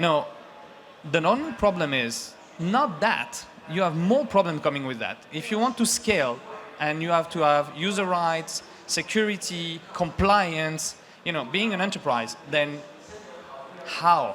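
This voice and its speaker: The delivery is fairly slow, broken by long, frequent pauses, with lively intonation. Noticeable background noise runs underneath. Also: man, high pitch for a man. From France. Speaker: startup founder. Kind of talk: sales pitch.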